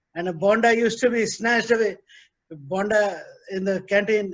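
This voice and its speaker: A man's high-pitched voice. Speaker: hotel industry professional. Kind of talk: panel discussion.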